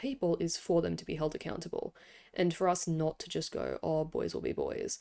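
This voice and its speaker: On a very clean recording with a silent background, a woman speaks at a moderate pace with an Australian accent. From Australia, Sydney. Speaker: podcaster, K-pop commentator. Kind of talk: casual monologue commentary. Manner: casual, with frequent fillers.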